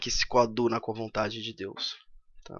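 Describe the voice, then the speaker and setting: The speaker is a man. His pitch is medium. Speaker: economics YouTuber. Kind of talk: commented reading.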